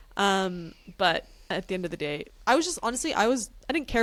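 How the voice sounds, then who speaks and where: Speaking at a very fast pace, a woman with a strong Canadian accent talks at medium pitch. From Canada. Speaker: reality TV podcast co-host. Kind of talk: casual chat.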